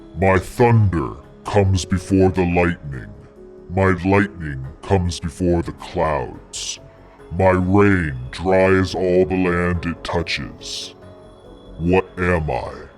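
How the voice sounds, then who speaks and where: In a booming, put-on character voice, a man speaks at a very slow pace with a very deep, low pitch while clear music plays in the background. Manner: ominous.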